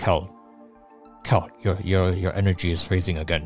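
A man's put-on character voice, very deep and low, fairly slow and monotone, over clear music in the background.

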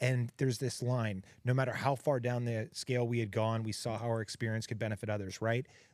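Recorded very cleanly against a silent background, a man with an American accent talks at a fairly quick pace in a monotone, flat delivery with hardly any pauses. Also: medium pitch for a man. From Texas. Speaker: podcast host in recovery.

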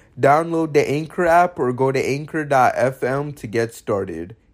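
A man speaks in a plain, everyday voice at a fairly high pitch. His pace is fairly slow, with ordinary pitch variation. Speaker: podcast host. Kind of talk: casual interview.

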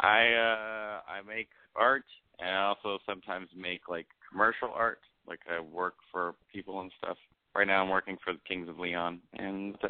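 At a moderate pace, a man with an American accent uses a plain, everyday voice that is fairly low in pitch, with fairly even intonation and big swings in loudness. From US West Coast (Los Angeles). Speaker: actor and comedian. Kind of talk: casual chat on call-in advice show. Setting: patched in remotely.

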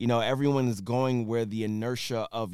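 A man with a normal speaking voice and an American accent, medium pitch, ordinary pitch variation and a fairly quick pace, on a very clean recording with a silent background. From Philadelphia, US. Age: 40s. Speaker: rapper and tech entrepreneur. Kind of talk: casual interview.

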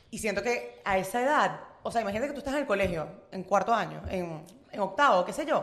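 A woman talks at a very fast pace with very wide pitch swings. Room echo is audible. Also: medium pitch for a woman. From Venezuela. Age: 20s. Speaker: student. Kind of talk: casual chat. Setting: coworking cafe.

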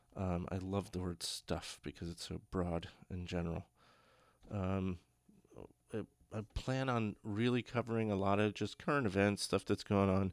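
An American accent comes through with long, frequent pauses on a very clean recording with a silent background. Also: man, fairly low pitch for a man, fairly even intonation, moderate pace. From New Jersey. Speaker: podcast host, army veteran. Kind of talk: casual solo podcast monologue. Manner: halting, many fillers.

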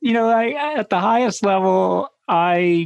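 A man talks at a fairly slow pace with vocal fry. His pitch variation is ordinary.

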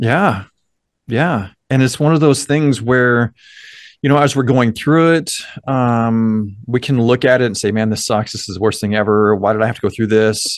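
A plain, everyday voice carries an American accent. Its pace is moderate and its pitch varies in an ordinary way. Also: man, medium pitch for a man. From US small town. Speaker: mindset coach. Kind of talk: podcast interview.

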